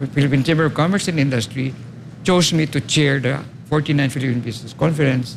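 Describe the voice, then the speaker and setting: Using ordinary pitch variation, a man with a fairly high voice and vocal fry talks at a very fast pace. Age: 70s. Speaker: architect and urban planner. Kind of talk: interview.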